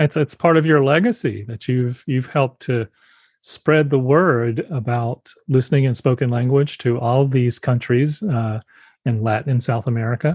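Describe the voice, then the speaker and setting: Ordinary pitch variation, a somewhat breathy quality and a moderate pace. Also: man. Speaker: podcast host. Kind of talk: interview conversation.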